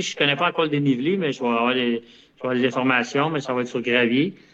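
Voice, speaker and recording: With a Quebec accent, the speaker moves at a fairly quick pace and uses ordinary pitch variation. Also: man. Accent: Québécois French. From Quebec (Longueuil). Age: 50s. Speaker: ultramarathon runner. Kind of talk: casual interview.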